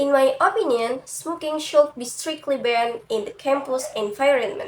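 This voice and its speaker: A woman's high-pitched voice with lively intonation, at a fairly slow pace. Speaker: university student. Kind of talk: class presentation. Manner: careful, deliberate.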